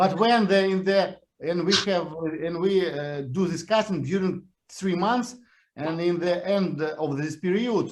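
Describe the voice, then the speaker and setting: This man has a Russian accent and a high pitch. He speaks at a fairly slow pace with ordinary pitch variation. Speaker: series creator. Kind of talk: interview. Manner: halting.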